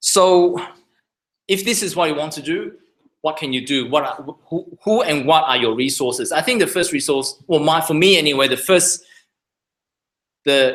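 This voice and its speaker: A man with a non-native accent talks at a moderate pace in a fairly high voice. His tone is bright and sharp, with lively intonation. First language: not English. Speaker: surgeon. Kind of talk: lecture. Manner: halting.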